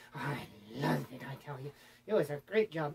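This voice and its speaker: A cartoonish character voice, cheerful in tone, fairly quick and full of very wide pitch swings. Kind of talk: comic puppet show. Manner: boastful, cheerful storytelling.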